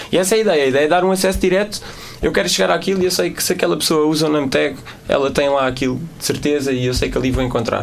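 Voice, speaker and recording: A man with a fairly high voice speaks at a very fast pace with lively intonation, over noticeable background noise and audible room echo. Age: 20s. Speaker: social media and tech guest. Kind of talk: casual interview.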